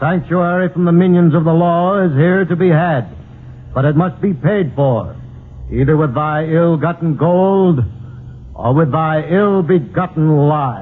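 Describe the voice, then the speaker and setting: The speaker is a man with a plain, everyday voice and a fairly high pitch. He talks at a fairly slow pace with ordinary pitch variation and very even loudness. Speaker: villain in a radio drama. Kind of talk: archaic, preacher-like speech with thee and thou. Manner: pompous, sanctimonious oratory.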